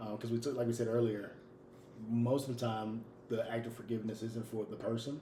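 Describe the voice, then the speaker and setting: A man's medium-pitched voice rings with audible room echo. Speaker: podcast co-host. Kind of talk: casual chat. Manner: loud; animated.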